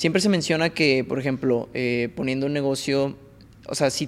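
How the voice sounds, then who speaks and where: Speaking fairly quickly in a normal speaking voice, a man holds a fairly high pitch with ordinary pitch variation. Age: 20s. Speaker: podcast host. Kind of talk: casual interview chat.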